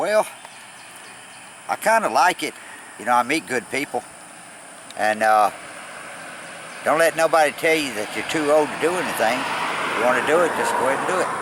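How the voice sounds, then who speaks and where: Over noticeable background noise, a man with a Southern US accent talks at a fairly quick pace with lively intonation and long, frequent pauses. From Tennessee, Nashville. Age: 60s. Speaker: long-distance cyclist traveler. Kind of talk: casual interview. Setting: outdoors by the road.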